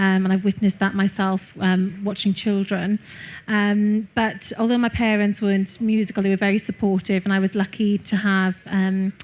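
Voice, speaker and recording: A woman with a Welsh accent talks at a moderate pace in a medium pitch, somewhat breathy and monotone, flat, at very even loudness. The recording is very clean with a silent background. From Wales. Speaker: classical singer. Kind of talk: interview. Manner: hesitant with many fillers.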